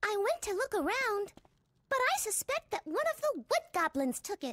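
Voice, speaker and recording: A squeaky, put-on character voice with an extremely high pitch carries the speech. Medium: game stream. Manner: upbeat, chatty.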